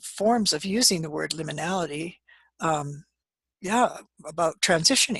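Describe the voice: With a slightly husky edge, a woman speaks at a moderate pace with ordinary pitch variation in a dry, close sound with no echo.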